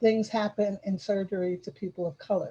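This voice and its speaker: Her tone is dark and mellow, somewhat breathy, at a medium pitch for a woman. She speaks at a fairly quick pace. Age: 70s. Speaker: community development elder and arts advocate. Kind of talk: group discussion on video call. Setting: video call. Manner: halting, with frequent repetitions.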